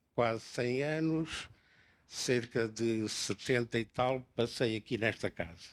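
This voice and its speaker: Speaking very slowly, a man keeps his voice at a medium pitch. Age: 90s. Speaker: architect, former professional body president. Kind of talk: panel discussion. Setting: book launch event with audience.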